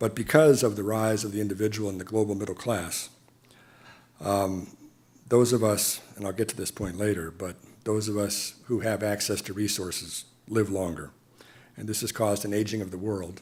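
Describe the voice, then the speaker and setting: A man with an American accent speaks at a moderate pace in a fairly low pitch, his intonation fairly even, with audible room echo around him. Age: 60s. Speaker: diplomat. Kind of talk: lecture. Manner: formal.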